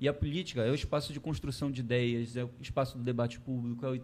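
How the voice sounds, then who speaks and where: This man's voice is somewhat breathy. He delivers his words very fast. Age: 30s. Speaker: geography professor and political candidate. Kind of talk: interview. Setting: studio.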